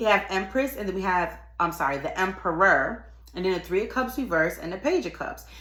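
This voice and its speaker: Bright and sharp in tone, a woman at medium pitch talks at a fairly quick pace with lively intonation and an animated tone. Audible room echo surrounds her voice. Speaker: tarot reader. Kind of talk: tarot reading monologue. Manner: fast.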